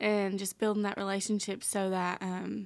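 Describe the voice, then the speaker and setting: In a Southern US accent, a woman talks at a fairly slow pace and medium pitch with monotone, flat intonation. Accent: Southern US, noticeable. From Tennessee. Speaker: intern and youth group leader. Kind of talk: casual interview chat.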